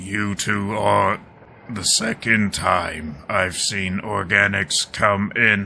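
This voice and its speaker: A man puts on a raspy character voice with a fairly low pitch. He speaks at a very slow pace with monotone, flat intonation. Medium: actual play. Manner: formal, terse.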